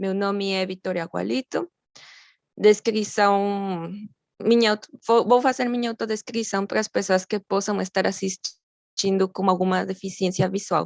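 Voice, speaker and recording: A woman with a Mexican accent speaks fairly slowly at a medium pitch, her intonation fairly even, in a dry, close recording with no echo. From Mexico. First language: Spanish (speaking Portuguese). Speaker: graduate student lecturer. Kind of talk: lecture.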